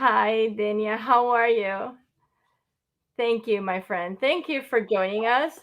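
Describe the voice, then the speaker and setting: A woman's fairly high voice with ordinary pitch variation, a very slow pace and long, frequent pauses. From Cuba. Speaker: talk show host. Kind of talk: casual interview.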